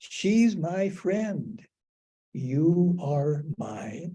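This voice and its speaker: Lively intonation runs through a voice with a dark, mellow tone. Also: man. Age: 80s+. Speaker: cancer patient speaking on death and dying. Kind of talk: personal talk to a group. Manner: halting.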